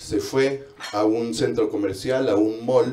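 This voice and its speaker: This man speaks with a Mexican accent. His pace is very slow. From Mexico. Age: 30s. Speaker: comedian. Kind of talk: stand-up. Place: bar.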